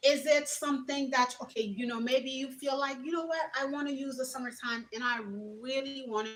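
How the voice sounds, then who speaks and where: At a moderate pace, a woman talks while noticeable background noise carries on. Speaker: entrepreneur and youth mentor livestreamer. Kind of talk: motivational livestream talk.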